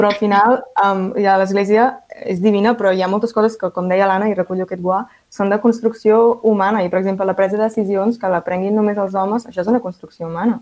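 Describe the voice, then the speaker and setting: Medium-pitched, a woman talks at a very fast pace. Her intonation stays monotone and flat. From Catalonia, Vallès Oriental. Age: 20s. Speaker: law and politics student. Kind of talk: round-table discussion.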